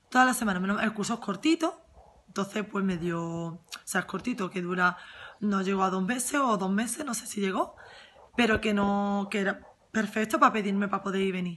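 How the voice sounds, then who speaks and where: A woman talks fairly quickly, her pitch varying in an ordinary way, with light background noise behind her. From Andalusia, Huelva; Andalusia. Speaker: former course student. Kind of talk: testimonial. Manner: halting. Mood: warm, enthusiastic. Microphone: phone near.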